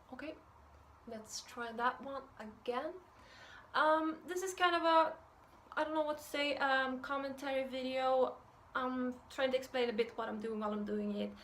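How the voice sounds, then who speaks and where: Her voice high and her pitch varying in an ordinary way, a woman speaks at a moderate pace with a Swedish accent. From Sweden. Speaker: art youtuber. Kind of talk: tutorial intro. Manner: hesitant, many fillers.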